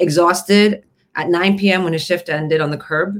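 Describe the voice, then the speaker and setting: With a Canadian accent and an unremarkable speaking voice, the speaker keeps a moderate pace. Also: woman. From Canada, Toronto area. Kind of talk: casual chat.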